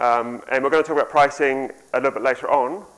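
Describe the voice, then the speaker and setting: A man with a New Zealand accent speaks at a fairly high pitch. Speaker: conference speaker, software developer and author. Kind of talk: conference talk.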